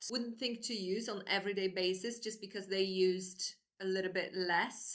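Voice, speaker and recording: With a Polish accent, a woman speaks using ordinary pitch variation. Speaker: book vlogger. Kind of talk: casual monologue. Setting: indoors at home; outdoors in garden.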